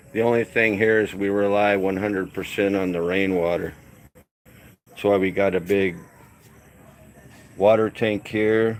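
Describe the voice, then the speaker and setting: A relaxed man with an American accent and a fairly low pitch, monotone and flat in intonation, at a moderate pace with long, frequent pauses, on a very clean recording with a silent background. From California. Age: 60s. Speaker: retired expat vlogger. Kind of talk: live stream chat with viewers. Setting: outdoors on upper deck. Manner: casual, relaxed.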